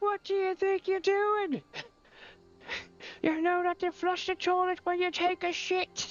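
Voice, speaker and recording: In a put-on character voice with an Irish accent, the speaker talks at an extremely high pitch in a monotone, flat way, at a fairly slow pace. Long, frequent pauses break up the speech, with faint music in the background. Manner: scolding.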